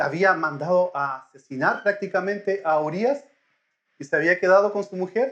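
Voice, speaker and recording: Big swings in loudness mark this man's high-pitched voice, delivered at a moderate pace with ordinary pitch variation. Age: middle-aged. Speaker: lay preacher. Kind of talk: sermon. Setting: church.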